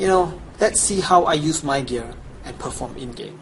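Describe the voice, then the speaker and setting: Against noticeable background noise, a man with a Chinese accent talks at a fairly slow pace with ordinary pitch variation. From Chinese background. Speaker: gaming guide creator. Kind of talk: tutorial. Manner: casual, enthusiastic.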